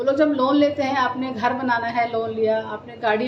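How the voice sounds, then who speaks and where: Amid noticeable background noise and audible room echo, a woman speaks with a high pitch and ordinary pitch variation. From Delhi, India. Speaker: insurance advisor. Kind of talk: live stream talk. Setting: live stream.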